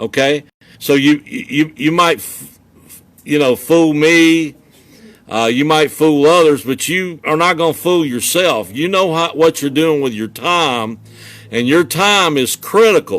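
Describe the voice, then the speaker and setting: This man has a fairly high pitch and talks at a fairly slow pace. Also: ordinary pitch variation. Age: 60s. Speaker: motivational coach. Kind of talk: motivational talk. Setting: social media video. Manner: animated; halting repetitions.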